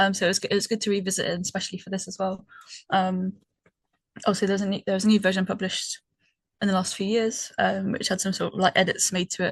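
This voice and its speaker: Speaking very fast in a British accent, a woman has a somewhat breathy, medium-pitched voice. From Britain. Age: 30s. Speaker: podcast co-host. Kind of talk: casual chat. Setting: call with co-hosts. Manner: hesitant, many ums.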